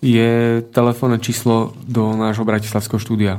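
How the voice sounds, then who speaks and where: At a fairly slow pace, a man speaks in a normal speaking voice of medium pitch. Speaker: sound technician. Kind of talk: reading aloud listener mail. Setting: studio.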